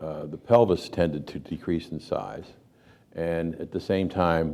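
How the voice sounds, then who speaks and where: Very deep, low male speech, dark and mellow in tone, with fairly even intonation. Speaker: panel speaker, birth advocate. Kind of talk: panel talk. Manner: halting.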